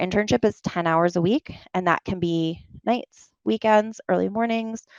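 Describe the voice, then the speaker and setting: In a dry, close recording with no echo and a quiet background, a woman with a slight New York accent speaks at a moderate pace, her fairly low pitch showing ordinary variation. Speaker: medical writing consultant. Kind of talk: career talk Q&A. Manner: casual, animated.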